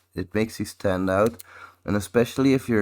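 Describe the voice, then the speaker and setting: A man speaks in an unremarkable speaking voice with a fairly low pitch. His intonation is fairly even. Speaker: infosec content creator. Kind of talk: live audio chat. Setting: online audio space.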